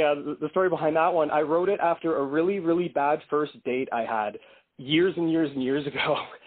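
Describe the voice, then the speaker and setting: A man with an ordinary speaking voice at a fairly high pitch, ordinary pitch variation, and a fairly quick pace. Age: 30s. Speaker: indie rock musician. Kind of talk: casual interview.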